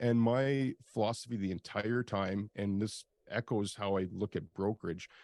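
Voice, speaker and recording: A man with a Canadian accent has an ordinary speaking voice at a fairly low pitch. He talks at a moderate pace with fairly even intonation and very even loudness. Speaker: industrial real estate broker and video host. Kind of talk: interview.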